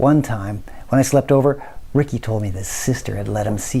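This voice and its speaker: Somewhat breathy, with a dark, mellow tone, the voice moves at a moderate pace with fairly even intonation. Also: man. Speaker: actor. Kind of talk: scripted drama dialogue. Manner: hesitant, nervous.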